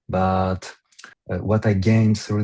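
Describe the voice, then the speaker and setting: A man speaks with a fairly low pitch and monotone, flat intonation. His voice is somewhat breathy. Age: 20s. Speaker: online store owner. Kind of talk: interview. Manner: halting, many fillers.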